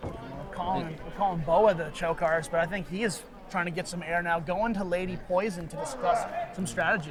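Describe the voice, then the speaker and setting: Speech with ordinary pitch variation moves at a fairly quick pace over noticeable background noise. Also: man, high pitch for a man. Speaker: wrestling commentator. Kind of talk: live pro wrestling play-by-play commentary. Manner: excited, energetic.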